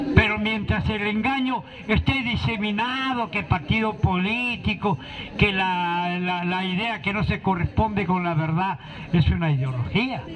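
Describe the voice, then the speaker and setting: A man with a high voice, a fairly slow pace and lively intonation, against noticeable background noise. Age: 60s. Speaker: political activist. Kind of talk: public speech.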